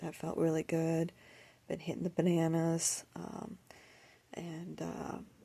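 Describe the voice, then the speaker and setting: Soft-spoken and dark, mellow in tone, a woman with a fairly low pitch speaks in a monotone, flat way at a very slow pace with long, frequent pauses. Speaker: lifestyle vlogger. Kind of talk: casual vlog monologue. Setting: at home, early morning.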